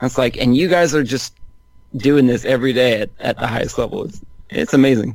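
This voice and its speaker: A man speaks with an American accent in an ordinary speaking voice. His pitch is medium with ordinary variation, and his pace is fairly quick. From Northern California. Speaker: basketball writer. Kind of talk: casual chat.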